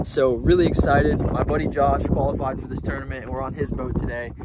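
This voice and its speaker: A man speaks at a fairly quick pace against loud background noise, with a dry sound and no echo. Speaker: fishing vlogger. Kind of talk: casual vlog chat. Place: boat. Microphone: phone near.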